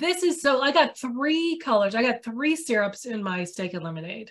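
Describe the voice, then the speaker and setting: At a moderate pace, a woman speaks in a high pitch with very wide pitch swings. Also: quiet background. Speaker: food journalist and author; food journalist. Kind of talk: virtual book talk. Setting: video call. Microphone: webcam.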